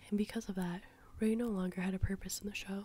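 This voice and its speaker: In a relaxed tone, a woman speaks at medium pitch with a somewhat breathy voice and monotone, flat intonation. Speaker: ASMR artist. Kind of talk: ASMR drawing commentary. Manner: soft-spoken, relaxed.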